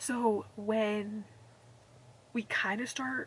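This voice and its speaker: Her fairly high-pitched voice comes through alongside noticeable background noise. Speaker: booktuber. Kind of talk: casual reading vlog talk. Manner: rambling, fast chatty.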